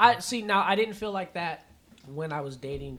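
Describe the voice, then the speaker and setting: A man speaks in an ordinary speaking voice, keeping a moderate pace. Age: 30s. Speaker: podcast host. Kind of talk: casual chat.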